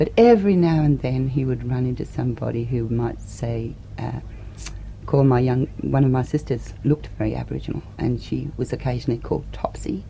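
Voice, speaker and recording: Noticeable background noise sits behind the voice. A woman talks at a fairly quick pace. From Australia. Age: 40s. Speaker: political activist. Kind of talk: interview answer.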